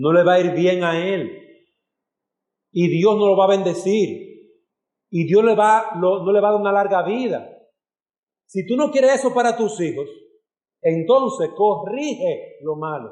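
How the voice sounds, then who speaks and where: Amid audible room echo, a man with a high voice speaks in an animated tone at a fairly slow pace, using ordinary pitch variation and long, frequent pauses. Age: 40s. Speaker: pastor. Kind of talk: sermon.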